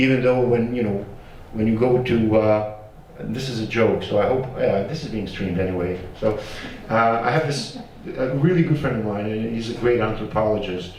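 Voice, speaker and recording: Over noticeable background noise and audible room echo, a man with a Bosnian accent speaks at a moderate pace in a medium pitch with ordinary pitch variation. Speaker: genocide survivor and academic. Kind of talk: panel discussion. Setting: panel with audience, streamed. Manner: casual, animated; halting.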